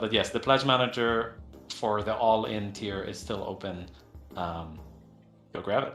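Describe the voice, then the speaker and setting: With music in the background and audible room echo, a man talks at a moderate pace and fairly even intonation. His loudness swings widely, and he takes long, frequent pauses. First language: not English. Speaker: game company co-founder hosting community Q&A. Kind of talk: casual Q&A livestream. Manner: halting, many fillers and repetitions.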